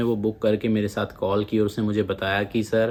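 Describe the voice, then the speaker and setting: A man with a Punjabi accent and a fairly low pitch talks at a moderate pace. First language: Punjabi (speaking Hindi). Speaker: immigration advice YouTuber. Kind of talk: informational video talk. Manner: casual, conversational.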